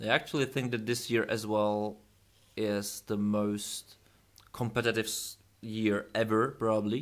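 A man with a continental European accent speaks at a fairly slow pace and medium pitch, in a monotone, flat intonation. The recording is very clean, with a silent background. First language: not English. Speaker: YouTube interviewer. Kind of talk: interview.

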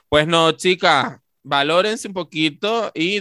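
Here is a man talking. His pitch sits fairly high. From Tenerife, Canary Islands. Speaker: podcast co-host. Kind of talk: casual chat. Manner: animated.

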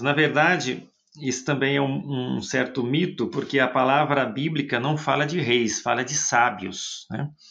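Ordinary pitch variation marks this man's speech at a fairly slow pace. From Brazil, interior of São Paulo state. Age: 50s. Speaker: friar and theologian. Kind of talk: interview.

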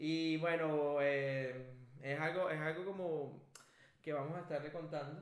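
With audible room echo, a man with fairly high pitch speaks slowly in a monotone, flat intonation. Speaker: podcast co-host. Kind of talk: casual chat. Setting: studio.

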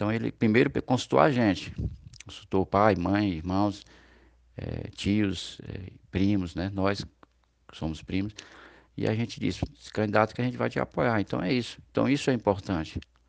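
Speaking at a moderate pace, a man uses lively intonation in a fairly low pitch. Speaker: campaign supporter and cousin of a candidate. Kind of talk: campaign testimonial. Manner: halting, with repetitions.

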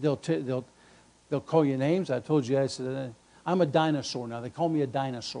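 Speaking at a moderate pace, a man has a dark, mellow tone, medium pitch and fairly even intonation. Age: 60s. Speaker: pastor. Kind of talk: sermon. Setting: church. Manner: halting.

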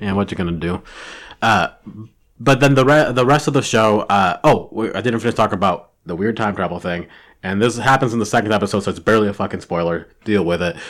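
Very fast is the pace of this man's speech. His pitch sits fairly low with ordinary variation. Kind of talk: casual chat. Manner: animated.

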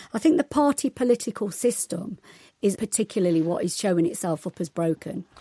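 A woman with an East Midlands accent, medium pitch and a dark, mellow, somewhat breathy tone, at a fairly quick pace with very wide pitch swings and a dry, close sound with no echo. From East Midlands, England. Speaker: sociology lecturer. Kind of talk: radio panel discussion.

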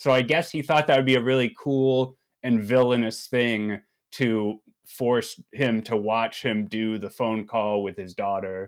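A man with an American accent in a plain, everyday voice, medium pitch and ordinary pitch variation, at a fairly slow pace, on a very clean recording with a silent background. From Maryland, US. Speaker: podcast host. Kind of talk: casual chat.

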